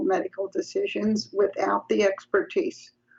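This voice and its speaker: A woman with a New York accent speaks with very wide pitch swings. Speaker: psychology professor. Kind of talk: interview conversation.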